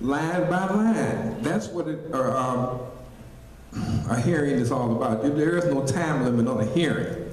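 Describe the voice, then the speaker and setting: A man's fairly slow speech with lively intonation and very even loudness, amid noticeable background noise and audible room echo. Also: fairly high pitch for a man. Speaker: village trustee. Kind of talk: heated debate. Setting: public meeting hall.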